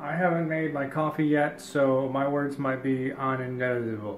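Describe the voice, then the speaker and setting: There is light background noise and audible room echo. A man speaks with fairly even intonation. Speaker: cooking show host. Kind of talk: casual vlog chat. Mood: sleepy, joking. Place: kitchen. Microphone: phone near.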